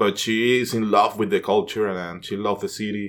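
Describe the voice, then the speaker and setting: With a Venezuelan accent, a man speaks at a fairly low pitch. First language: Spanish. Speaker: actor. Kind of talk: casual chat.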